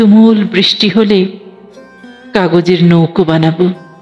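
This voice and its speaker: Over music in the background, the voice carries a sad tone with fairly even intonation. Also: woman. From Bangladesh. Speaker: poet. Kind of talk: poetry reading. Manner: emotional, sad.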